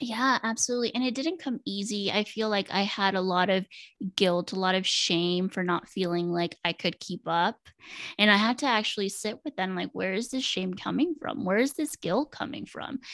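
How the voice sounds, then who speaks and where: In a normal speaking voice with an American accent, a woman speaks at a medium pitch with lively intonation, dry and close with no echo on a very clean recording with a silent background. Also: moderate pace. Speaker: mental health counselor. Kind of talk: casual interview.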